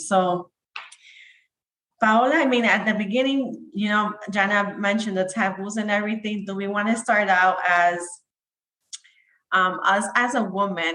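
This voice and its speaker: At a moderate pace, a woman speaks with a bright, sharp tone, medium pitch and ordinary pitch variation. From Dominican heritage. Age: 30s. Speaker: podcast co-host. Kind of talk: podcast interview.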